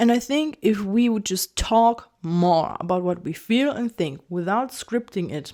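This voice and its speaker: A woman with a German accent and a dark, mellow tone speaks at a medium pitch and a fairly slow pace, using lively intonation and hardly any pauses. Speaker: video essayist. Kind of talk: casual monologue. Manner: halting.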